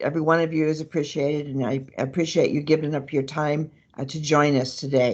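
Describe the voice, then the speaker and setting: A woman's very deep, low voice at a moderate pace. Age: 70s. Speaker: trainer and peer advocate. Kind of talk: conference presentation.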